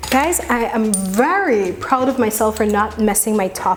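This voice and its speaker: A woman's fairly high-pitched voice with ordinary pitch variation, over noticeable background noise. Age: young. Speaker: cooking vlogger. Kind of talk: casual cooking tutorial.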